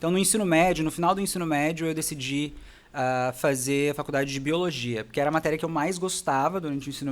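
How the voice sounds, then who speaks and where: A man's fairly high voice at a very fast pace, with hardly any pauses and ordinary pitch variation, on a very clean recording over a silent background. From Brazil, interior of São Paulo state. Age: 20s. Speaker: dentist and facial aesthetics specialist. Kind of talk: podcast interview.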